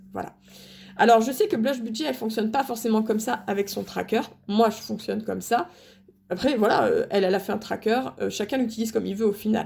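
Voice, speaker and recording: Here a woman talks very fast at a fairly high pitch. Vocal fry comes through, and her pitch variation is ordinary. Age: 30s. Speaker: stay-at-home mom vlogger. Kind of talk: casual vlog talk to camera. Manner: halting, many fillers and repetitions.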